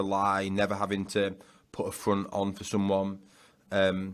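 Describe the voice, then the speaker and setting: A fairly low-pitched man with a Yorkshire accent on a very clean recording with a silent background. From Yorkshire, northern England. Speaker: business founder and author. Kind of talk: podcast interview. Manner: loud.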